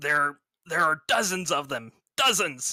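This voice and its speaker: This is a put-on character voice with a raspy quality. The pitch sits in the middle range. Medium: actual play. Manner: hesitant, stammering.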